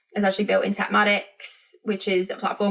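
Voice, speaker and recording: A woman with a British accent at a very fast pace. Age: 40s. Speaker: podcast host, business coach. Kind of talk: casual podcast monologue.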